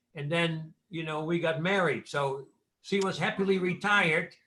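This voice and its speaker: A fairly high, bright, sharp male voice with a Dutch accent, ordinary pitch variation and a moderate pace. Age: 70s. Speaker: businessman guest. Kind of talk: storytelling in interview.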